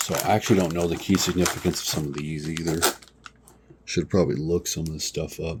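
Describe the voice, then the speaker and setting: Over noticeable background noise, a man talks very fast in a very deep, low pitch with fairly even intonation. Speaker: comic book collector and seller. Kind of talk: casual collection showcase video. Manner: casual, hesitant with fillers.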